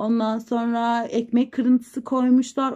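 A dark, mellow tone colors this woman's voice.

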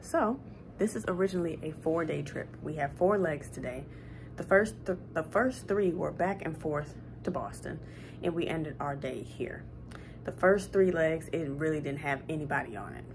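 Over music in the background, a woman with a very deep, low pitch talks at a moderate pace with lively intonation. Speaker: flight attendant vlogger. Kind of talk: casual vlog chat. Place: home room. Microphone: phone near.

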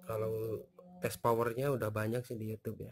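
A man with a fairly low pitch, a slightly mellow tone and a moderate pace.

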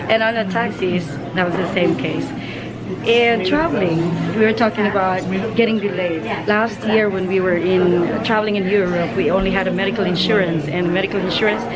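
Over loud background noise, a woman talks at a fairly quick pace with ordinary pitch variation. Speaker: travel vlogger. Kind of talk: casual vlog chat. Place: shop. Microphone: phone near.

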